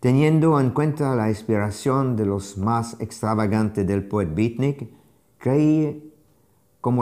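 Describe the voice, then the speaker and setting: Against a quiet background, a man with a strong non-native accent speaks at medium pitch in a dark, mellow tone, with ordinary pitch variation. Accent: foreign accent in Spanish, strong. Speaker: art critic and curator, lecturer; lecturer. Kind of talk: lecture read aloud from a translated text. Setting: remote streamed video from Paris. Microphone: lapel.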